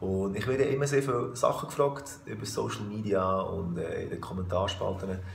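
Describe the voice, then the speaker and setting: The man's intonation is lively. His voice carries audible echo from the room. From Switzerland. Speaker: musician. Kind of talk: casual talk to camera. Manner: relaxed, joking. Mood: friendly, relaxed. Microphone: phone near.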